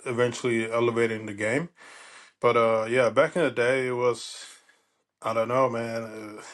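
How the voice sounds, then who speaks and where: Against a quiet background, a man with a German accent speaks at a medium pitch and fairly slow pace in a monotone, flat intonation. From Germany. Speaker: former pro baseball player. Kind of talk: casual interview chat.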